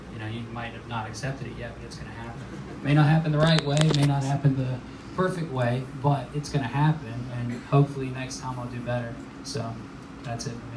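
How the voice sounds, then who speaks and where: A man's very fast speech at a medium pitch, fairly even in intonation but with big swings in loudness, amid noticeable background noise and audible room echo. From South Carolina, Georgetown. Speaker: film director. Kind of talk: panel discussion. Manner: casual, halting with fillers.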